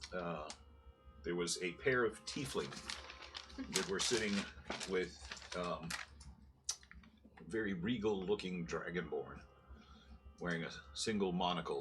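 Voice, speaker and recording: A put-on character voice, raspy and moderately paced with long, frequent pauses, plays over clear background noise. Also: man, very deep, low pitch for a man. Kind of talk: casual tabletop recap. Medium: actual play. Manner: halting, filler-heavy.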